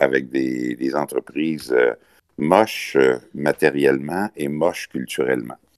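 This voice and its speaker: A man with a Quebec accent speaks slowly in a very deep, low pitch with ordinary pitch variation. The sound is dry and close, with no echo. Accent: Québécois French. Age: 60s. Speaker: business association leader. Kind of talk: interview. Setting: remote call.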